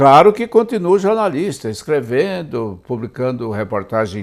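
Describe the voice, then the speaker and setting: Recorded very cleanly with a silent background, a man at medium pitch speaks with very wide pitch swings. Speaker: journalist and author. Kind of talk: interview.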